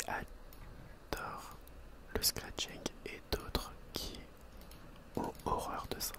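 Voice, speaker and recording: Over noticeable background noise, a man speaks in a whisper. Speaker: ASMR creator and school teacher. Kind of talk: ASMR whisper video to the camera. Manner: whispered, soft-spoken.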